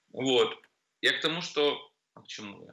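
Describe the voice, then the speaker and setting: A man talks at a moderate pace. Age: 40s. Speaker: nightclub MC. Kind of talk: casual chat.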